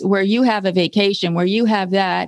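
A woman with an American accent talks at a moderate pace with fairly even intonation. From California (Berkeley). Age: 60s. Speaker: essayist and staff writer. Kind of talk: interview conversation.

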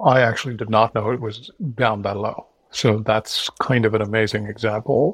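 A man talks at a moderate pace and medium pitch, somewhat breathy. His intonation is monotone and flat, and the sound is dry and close with no echo. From India. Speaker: podcast host. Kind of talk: interview.

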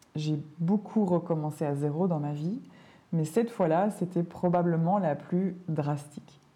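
Her pitch is fairly low for a woman, her intonation fairly even. She keeps a moderate pace. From Belgium. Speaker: language teacher and podcaster. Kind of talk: podcast monologue for learners. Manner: clear and measured; gentle, soothing.

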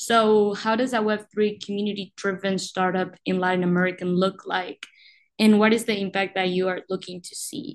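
With a Spanish accent, a woman speaks at a moderate pace in a medium pitch, her intonation fairly even. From Uruguay. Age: 20s. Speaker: podcast host, university student. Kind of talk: interview.

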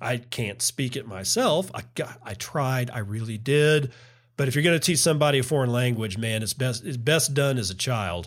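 Here is a plain, everyday voice: a man at medium pitch with an American accent and ordinary pitch variation. He keeps a moderate pace on a very clean recording with a silent background. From Texas. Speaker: podcast host. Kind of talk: solo podcast commentary. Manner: casual, rambling with self-corrections.

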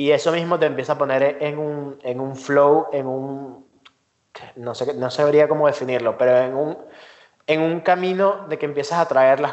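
In an unremarkable speaking voice, a man talks at a moderate pace and a fairly high pitch with fairly even intonation. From Venezuela. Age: 20s. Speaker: designer and entrepreneur. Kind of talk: interview. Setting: remote call.

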